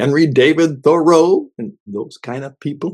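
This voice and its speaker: In a normal speaking voice with ordinary pitch variation, a man talks at a fairly slow pace. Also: quiet background. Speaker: radio host and coach. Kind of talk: devotional radio talk to listeners. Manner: conversational, reflective.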